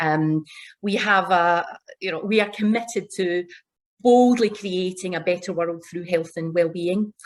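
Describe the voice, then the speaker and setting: The recording is very clean with a silent background as a woman with a Glaswegian accent talks at a moderate pace and medium pitch. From Scotland, Glasgow. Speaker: corporate executive. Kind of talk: panel discussion opening remarks.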